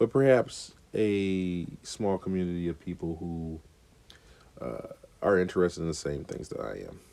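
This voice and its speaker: With a very deep, low pitch and ordinary pitch movement, this man talks at a moderate pace. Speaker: podcaster. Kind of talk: casual monologue. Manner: hesitant, many fillers.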